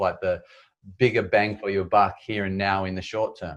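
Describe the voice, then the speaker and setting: A man with an Australian accent and fairly low pitch, against a quiet background. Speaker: endurance adventurer and public speaker. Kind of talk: interview.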